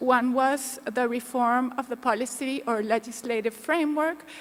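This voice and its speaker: A woman talks at a fairly slow pace in a high pitch, her intonation fairly even. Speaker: panel moderator. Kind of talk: conference presentation. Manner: soft-spoken.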